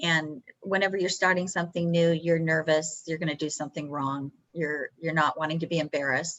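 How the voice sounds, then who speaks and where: A woman with an American accent, very deep and low in pitch, monotone and flat in intonation, at a fairly quick pace with hardly any pauses. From Texas. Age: 60s. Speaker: professional poker player. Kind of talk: interview.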